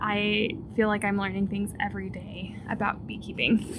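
A woman speaks over noticeable background noise. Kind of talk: casual vlog chat. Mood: relaxed, friendly. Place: garden. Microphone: phone near.

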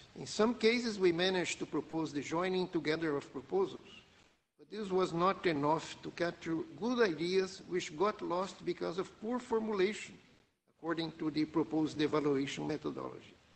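The voice moves at a moderate pace with ordinary pitch variation. Its loudness swings widely. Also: man, high pitch for a man. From Brazil. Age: 70s. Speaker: advisory group member. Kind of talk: meeting discussion. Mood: calm, constructive. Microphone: video call.

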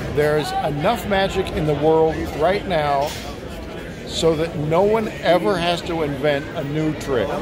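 A man talks fairly slowly over noticeable background noise. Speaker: magician and magic book publisher. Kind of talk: interview. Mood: enthusiastic. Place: hall. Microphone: phone near.

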